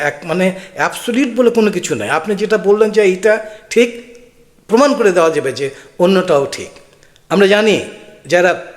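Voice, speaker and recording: A high-pitched man with lively intonation, noticeable background noise behind him. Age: old. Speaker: political commentator. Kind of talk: video commentary. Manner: halting.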